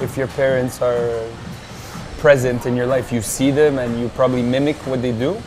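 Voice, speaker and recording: With music in the background, a man with a French accent speaks fairly quickly in a monotone, flat delivery. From France (Marseille), raised in Montreal from age 12. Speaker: entrepreneur, restaurant and bar owner. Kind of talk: interview. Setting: coffee shop. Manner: casual, hesitant with fillers.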